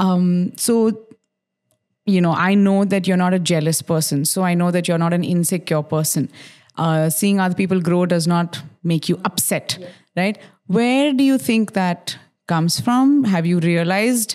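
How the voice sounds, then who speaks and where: In a very clean recording with a silent background, a woman with a normal speaking voice talks at a moderate pace, her fairly low pitch showing ordinary pitch variation. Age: 30s. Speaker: radio host and podcaster. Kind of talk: casual chat. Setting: her home.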